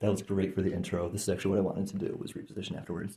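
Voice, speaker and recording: A soft-spoken man talks at a fairly low pitch in a dark, mellow, somewhat breathy tone. His intonation is monotone and flat. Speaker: energy healer. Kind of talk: guided session with explanation to camera. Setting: indoors, filmed session. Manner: halting, many fillers; soft-spoken normally, speaking up here.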